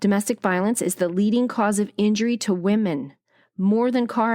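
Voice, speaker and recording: Very clean with a silent background, the recording features a woman at a medium pitch and moderate pace with ordinary pitch variation. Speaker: podcast host. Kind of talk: podcast monologue. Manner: occasional stumbles.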